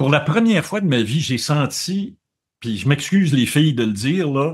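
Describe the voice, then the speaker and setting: Animated in tone and somewhat breathy, a man with a Quebec accent speaks in a fairly high pitch with lively intonation. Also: moderate pace. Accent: Québécois French. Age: 70s. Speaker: journalist. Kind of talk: interview conversation. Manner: animated, with frequent repetitions and hesitations.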